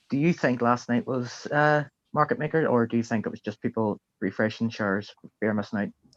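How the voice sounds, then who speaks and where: Speaking at a fairly quick pace with an Irish accent, a man of medium pitch shows ordinary pitch variation in dry, close sound with no echo. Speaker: participant in a trading community chat. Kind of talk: casual live stream chat.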